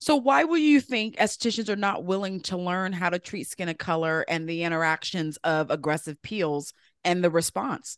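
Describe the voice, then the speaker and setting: A woman with an ordinary speaking voice talks at a moderate pace with hardly any pauses, her fairly low pitch and lively intonation heard in a dry, close sound with no echo over a quiet background. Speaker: summit host and waxing educator. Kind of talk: casual interview chat.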